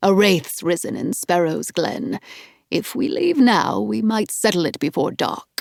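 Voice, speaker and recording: A woman puts on a character voice. Her pitch sits in the medium range. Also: moderate pace. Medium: read story. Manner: calm, knowing.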